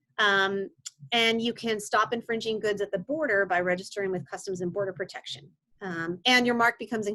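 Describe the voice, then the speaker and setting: A woman's medium-pitched voice has a bright, sharp tone. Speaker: intellectual property attorney. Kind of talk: interview, explaining legal tips. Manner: fast.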